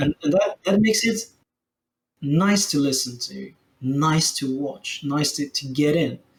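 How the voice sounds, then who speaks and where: Somewhat breathy, a man with a French accent speaks fairly slowly at a fairly high pitch with ordinary pitch variation. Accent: French accent, pronunciation sometimes off. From France. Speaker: game streamer and economy analyst. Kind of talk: casual chat. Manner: halting, repeats words.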